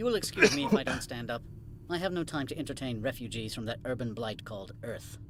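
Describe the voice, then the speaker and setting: Doing a put-on character voice, a man sounds nasal at a medium pitch and a very fast pace, with clear background noise behind him. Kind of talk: old-timey movie style. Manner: quick-talking, haughty.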